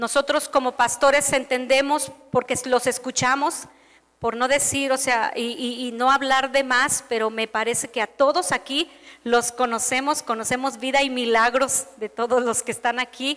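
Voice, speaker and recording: A woman's bright, sharp tone at a high pitch, moderate pace and fairly even intonation. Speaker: pastor. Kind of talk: sermon.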